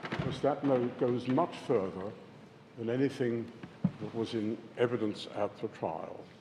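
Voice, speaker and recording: A man's medium-pitched voice at a fairly slow pace, with ordinary pitch variation, long, frequent pauses, and noticeable background noise. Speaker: barrister. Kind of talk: courtroom legal submission. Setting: courtroom. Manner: formal; loud. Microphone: hard to hear from the far end of the bench.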